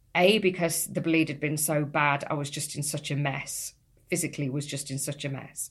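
A woman speaks with a very deep, low pitch and a somewhat breathy voice. Her intonation is fairly even, her pace moderate, and the background quiet. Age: 50s. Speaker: midlife coach and podcast host. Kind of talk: solo podcast monologue. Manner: chatty.

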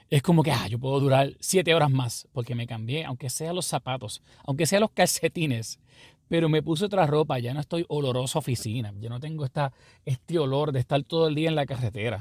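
A man speaks at a fairly quick pace in a fairly high voice with ordinary pitch variation, somewhat breathy, on a very clean recording with a silent background and a dry, close sound with no echo. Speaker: pastor. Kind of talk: sermon-style podcast monologue.

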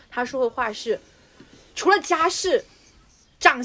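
A woman speaks in a raised, projected voice with a high pitch, a bright, sharp tone and very wide pitch swings. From southern China. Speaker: podcast co-host. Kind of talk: casual chat.

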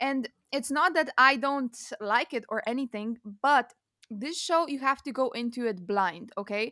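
A woman speaks in a raised, projected voice at a moderate pace, with a high pitch, a bright, sharp tone and an enthusiastic tone. Her intonation is lively, and the sound is dry and close with no echo. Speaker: podcast co-host. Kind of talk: casual chat about TV shows. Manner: enthusiastic, casual.

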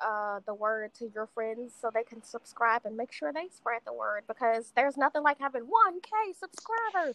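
A woman speaks at a moderate pace in an ordinary speaking voice, pitched fairly high. Her pitch varies normally, but her loudness swings widely. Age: 20s. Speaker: podcast assistant and promoter. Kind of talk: casual chat.

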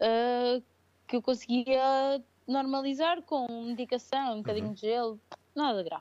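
A woman talks at a high pitch and a moderate pace. Her pitch variation is ordinary, while her loudness swings a lot. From Portugal, Viseu region. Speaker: crossfit athlete and coach. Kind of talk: casual interview. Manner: hesitant, many fillers.

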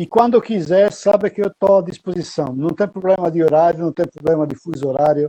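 A man talks at a moderate pace in a high pitch with a dark, mellow tone and fairly even intonation. The sound is dry and close, with no echo. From Italy (Pistoia, Tuscany). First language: Italian (speaking Portuguese). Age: 60s. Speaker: military history guide and lecturer. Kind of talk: interview.

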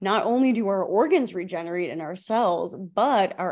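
Against a quiet background, a woman with a normal speaking voice talks at a moderate pace and a medium pitch, with lively intonation. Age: 20s. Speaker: holistic health podcast host. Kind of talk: solo podcast monologue. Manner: conversational, with fillers and self-corrections.

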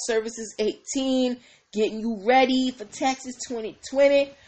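A woman's high-pitched, animated voice at a fairly slow pace. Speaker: lawyer and business consultant hosting a legal show. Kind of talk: casual livestream show. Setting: live stream.

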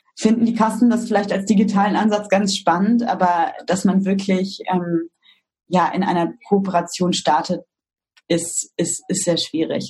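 Its pitch shifts in an ordinary way. There is a somewhat breathy quality to the voice. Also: woman. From Germany, East Westphalia-Lippe (Detmold). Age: 30s. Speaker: startup co-founder. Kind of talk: interview.

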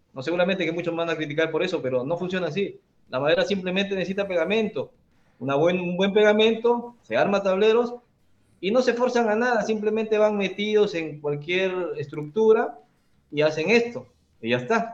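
Using lively intonation, a man speaks at a high pitch and a fairly quick pace. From Peru, Trujillo. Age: 40s. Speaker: carpenter and tool-making content creator. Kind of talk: casual interview.

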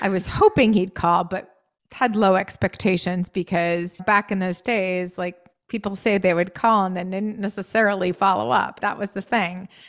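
A woman with an American accent has an unremarkable speaking voice, medium in pitch and fairly even in intonation, recorded with a dry, close sound with no echo. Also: moderate pace. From US New England, Maine. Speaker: podcast guest, writer and public speaker. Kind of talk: casual interview chat. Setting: video call.

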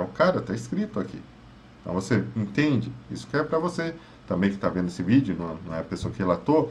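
Despite long, frequent pauses, a man speaks at a very fast pace with very wide pitch swings and vocal fry. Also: fairly low pitch for a man. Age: 30s. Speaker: psychologist. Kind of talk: advice monologue.

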